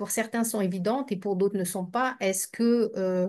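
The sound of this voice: Ordinary pitch variation runs through this woman's speech. Her pitch is medium.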